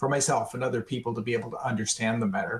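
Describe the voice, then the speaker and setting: The voice is somewhat breathy. It belongs to a man with an American accent. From Arizona. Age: 60s. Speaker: retired tech worker living with ALS. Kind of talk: webinar interview. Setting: webinar.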